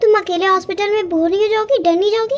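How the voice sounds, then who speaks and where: A woman's squeaky, put-on character voice at an extremely high pitch, very fast in pace and very even in loudness. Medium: audio drama. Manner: playful, flirtatious.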